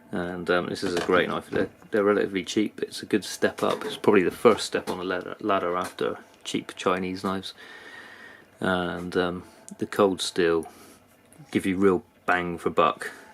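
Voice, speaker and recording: Speaking with a British accent, a man with a very deep, low pitch talks at a moderate pace in a monotone, flat intonation. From UK. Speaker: knife reviewer, YouTuber. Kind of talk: product review. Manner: hesitant, many fillers.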